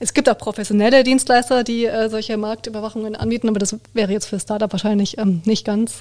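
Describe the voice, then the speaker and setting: Very fast and with hardly any pauses, a woman speaks at a fairly high pitch with fairly even intonation. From Baden-Württemberg, near Heidelberg. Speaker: trademark lawyer. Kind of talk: expert interview.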